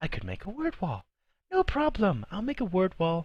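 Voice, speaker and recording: The voice sounds strained, moving at a fairly quick pace with very wide pitch swings. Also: man. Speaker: YouTuber, film commentator. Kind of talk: casual vlog commentary. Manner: odd strained tone.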